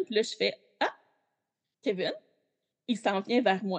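A woman talks in a Quebec accent. Her pitch variation is ordinary. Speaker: Backstreet Boys superfan. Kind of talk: casual chat.

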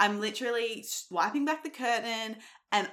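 Speaking in an Australian accent, a woman has a fairly high pitch and an animated tone. Her intonation is lively while her pace stays fairly slow. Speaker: fitness coach and nutritionist. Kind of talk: solo podcast monologue.

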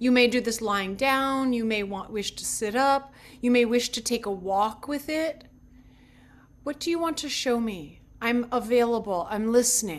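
A woman with an unremarkable speaking voice talks at a fairly slow pace. Her pitch is fairly high, with ordinary pitch variation. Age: 50s. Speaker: yoga teacher. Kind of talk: spiritual talk.

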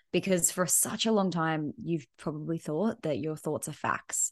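Against a quiet background, a woman with an Australian accent speaks at a fairly low pitch, with ordinary pitch variation. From Perth, Western Australia. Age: 30s. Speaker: business coach. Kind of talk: casual interview chat.

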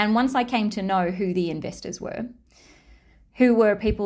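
With an Australian accent and ordinary pitch variation, the speaker is heard in a very clean recording against a silent background. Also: woman. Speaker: podcast host and human design teacher. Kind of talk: solo podcast monologue, personal storytelling.

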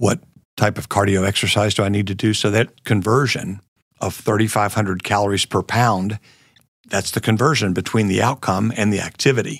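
In an American accent, a man with a fairly low pitch speaks at a fairly quick pace in an ordinary speaking voice. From US South, Florida (Jacksonville). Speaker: business professor and former entrepreneur. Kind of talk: interview.

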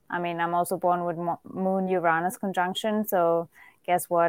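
The speaker has a German accent. The sound is dry and close with no echo, in a very clean recording with a silent background. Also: woman. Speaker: spiritual teacher, astrologer. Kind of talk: casual interview.

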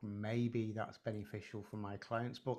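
A man speaks with a northern English accent at a fairly slow pace. His pitch sits fairly low. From northern England, Preston. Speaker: hypnotherapist and psychotherapist. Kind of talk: casual conversation. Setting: video call.

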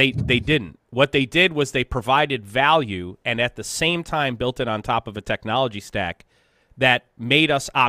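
A man's medium-pitched, normal speaking voice with lively intonation. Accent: American. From US Rust Belt. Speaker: industrial technology consultant and show host. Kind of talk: live-stream Q&A, conversational teaching.

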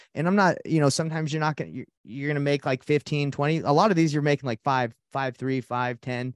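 This man talks at a fairly high pitch with an American accent against a quiet background. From US South, Atlanta, Georgia. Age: 30s. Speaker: real estate investor. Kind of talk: casual interview. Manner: animated.

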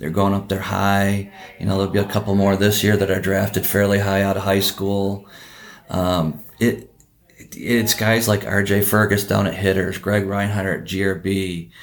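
A man's fairly low voice with an Upper Midwest accent, monotone and flat, at a moderate pace. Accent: Upper Midwest American. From Wisconsin (Oconomowoc). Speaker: baseball coach and academy owner. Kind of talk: casual interview chat.

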